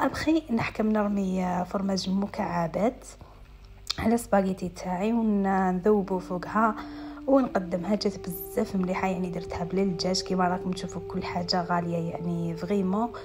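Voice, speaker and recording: Speaking with an Algerian accent, a woman keeps a moderate pace and a medium pitch with ordinary variation. Noticeable background noise is present. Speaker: lifestyle vlogger. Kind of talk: voice-over vlog narration.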